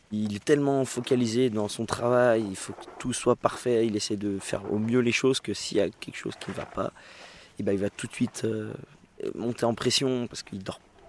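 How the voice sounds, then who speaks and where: Over noticeable background noise, a man talks at a moderate pace with a medium pitch and fairly even intonation. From Beaujolais, France. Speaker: winegrower's family, grape carrier. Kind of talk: interview. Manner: halting.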